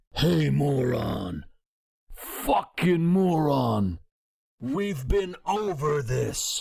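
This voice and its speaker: In a put-on character voice with a low-to-middle pitch, the speaker goes at a very slow pace. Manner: insulting, condescending.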